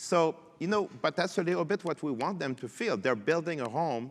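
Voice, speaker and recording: The speaker has a French Canadian accent and a moderate pace. The pitch swings very widely. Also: man. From Quebec. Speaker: tech panelist. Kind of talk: panel discussion. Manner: halting.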